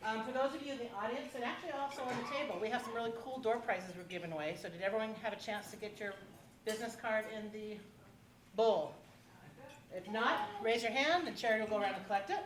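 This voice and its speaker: A woman talks at a very fast pace with a fairly high pitch and ordinary pitch variation. Room echo is audible. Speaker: forum moderator. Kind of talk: public forum moderation. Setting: hotel event room with audience.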